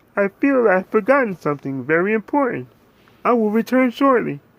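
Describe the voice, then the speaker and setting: A man's put-on character voice, high-pitched and fairly quick. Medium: read story.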